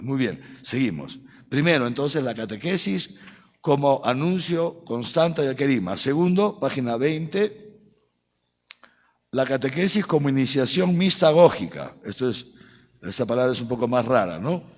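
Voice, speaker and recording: Speaking at a moderate pace, a man with a medium pitch uses very wide pitch swings. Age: 60s. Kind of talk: catechetical lecture to a live audience. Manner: conversational, frequent tag questions like ¿eh? ¿no?.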